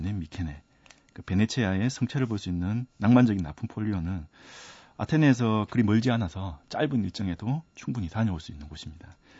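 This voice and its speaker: Fairly low-pitched and somewhat breathy, a man speaks at a fairly quick pace. His intonation is lively. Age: 30s. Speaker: cultural heritage researcher and author. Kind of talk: radio interview.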